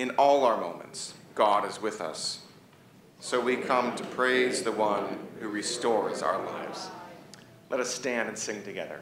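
Through noticeable background noise, a man talks at a fairly slow pace with ordinary pitch variation. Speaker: pastor. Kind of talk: liturgical call to worship. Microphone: podium.

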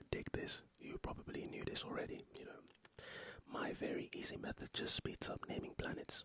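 A soft-spoken man whispering at a fairly quick pace, dry with no echo, amid noticeable background noise. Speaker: ASMR creator. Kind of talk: soft-spoken ASMR fact sharing. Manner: close soft ASMR whisper. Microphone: studio mic.

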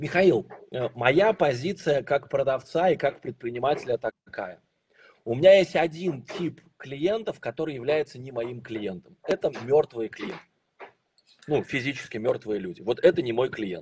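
Amid light background noise, a man with a fairly high pitch and a somewhat breathy voice speaks at a fairly slow pace, with very wide pitch swings and big swings in loudness. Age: 40s. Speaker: sales trainer. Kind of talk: webinar. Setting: online broadcast. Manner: animated. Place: home room. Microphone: video call.

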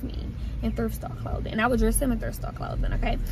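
Noticeable background noise accompanies a woman's voice, and the sound is dry with no echo. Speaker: vlogger. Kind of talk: casual vlog chat. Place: car. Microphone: phone near.

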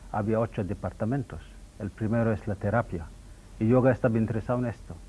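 A man's dark, mellow voice with vocal fry and fairly even intonation over light background noise. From India, Mangalore. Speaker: yoga and ayurveda teacher. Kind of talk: TV interview. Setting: TV studio. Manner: halting. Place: studio. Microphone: lapel.

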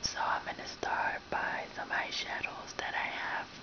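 Whispering, a woman speaks. Her pace is very slow. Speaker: ASMR video host. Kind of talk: casual talk to camera. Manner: whispered, soft-spoken. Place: home room. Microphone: webcam.

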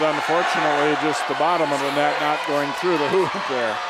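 Over loud background noise, a man talks at a moderate pace with a dry sound and no echo. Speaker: play-by-play announcer. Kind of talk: live sports commentary, play-by-play. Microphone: headset.

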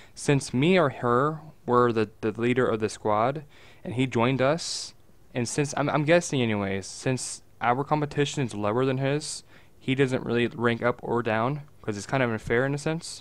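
A man's plain, everyday voice, medium in pitch, fairly quick, with ordinary pitch variation. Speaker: gaming podcast co-host. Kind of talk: casual chat. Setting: online voice call.

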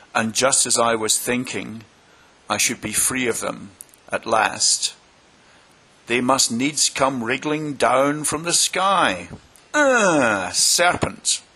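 Putting on a shrill character voice, a man with a medium pitch speaks at a very slow pace, with ordinary pitch variation and long, frequent pauses. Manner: shrieking, indignant.

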